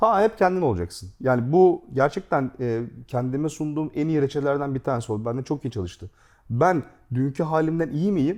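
An ordinary speaking voice with lively intonation comes through over a quiet background. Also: man, fairly high pitch for a man, moderate pace. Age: 40s. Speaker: gaming YouTube host. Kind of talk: casual chat.

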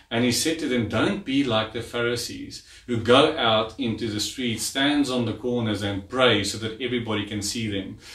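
With audible room echo, a man talks at a moderate pace with hardly any pauses. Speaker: preacher. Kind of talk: sermon. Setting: church garage livestream. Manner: animated, call-and-response, urging the congregation to say amen; warm, chatty, fluent. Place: home room.

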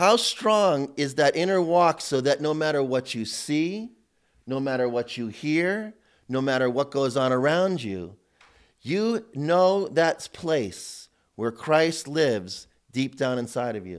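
A man talks very slowly, with little noise behind him. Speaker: priest teaching a seminar. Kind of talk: sermon. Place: church.

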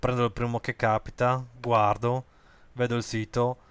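A man's medium-pitched, monotone delivery at a fairly slow pace, flat in intonation, on a very clean recording with a silent background. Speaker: web tutorial creator. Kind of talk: screen-recorded software tutorial. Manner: hesitant, many fillers (eh, ehm).

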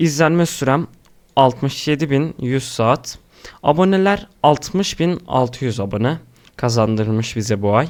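A man's medium-pitched voice moves very slowly, its pitch varying in an ordinary way. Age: young. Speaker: YouTube creator. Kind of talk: screen-recorded tutorial.

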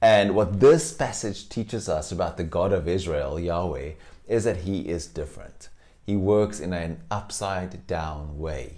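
A man with a very deep, low pitch speaks at a moderate pace with ordinary pitch variation. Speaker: pastor. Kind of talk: sermon. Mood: warm, smiling. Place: home room. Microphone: lapel.

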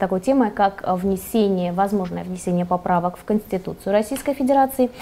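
Her intonation is lively. This woman's tone is dark and mellow. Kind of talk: TV talk show. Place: studio. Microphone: lapel.

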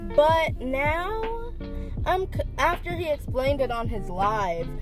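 A woman at a very slow pace, dry with no echo, clear music in the background. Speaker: vlogger. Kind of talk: casual vlog chat. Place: car. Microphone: phone near.

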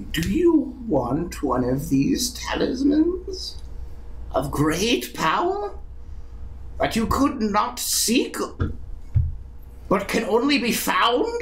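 A man puts on a character voice and speaks at a very slow pace. He leaves long, frequent pauses amid clear background noise. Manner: creepy, sly, repetitive.

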